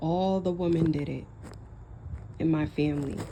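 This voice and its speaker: Speaking at a moderate pace, a woman uses monotone, flat intonation and a fairly low pitch with a dark, mellow tone, while audible room echo fills the space. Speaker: vlogger. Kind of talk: personal vlog monologue. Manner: casual, rambling, self-reflective.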